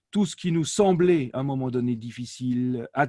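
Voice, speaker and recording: A man with an Alsatian accent speaks at medium pitch with ordinary variation and a dark, mellow tone. The recording is very clean, with a silent background and a dry, close sound free of echo. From France, Alsace. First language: Alsatian (speaking French). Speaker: language learning company director, polyglot. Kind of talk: interview. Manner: hesitant, many fillers.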